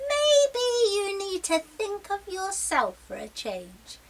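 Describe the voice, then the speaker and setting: A woman talks in a put-on character voice. Her delivery is very slow. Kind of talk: children's story reading.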